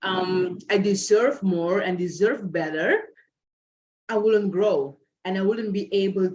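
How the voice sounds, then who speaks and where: In a Curaçao accent, a woman with a medium pitch speaks at a very slow pace with fairly even intonation. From Curaçao, Dutch Caribbean. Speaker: guest speaker. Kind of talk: interview, personal story. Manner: frequent filler 'um'.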